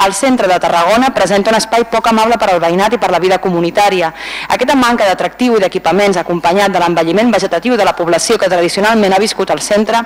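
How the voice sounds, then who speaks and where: Amid noticeable background noise, the speech moves at a very fast pace. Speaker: council member. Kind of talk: formal council speech.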